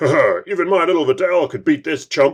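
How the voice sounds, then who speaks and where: Putting on a character voice, a man speaks at a fairly quick pace in a high pitch. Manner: boastful, cocky.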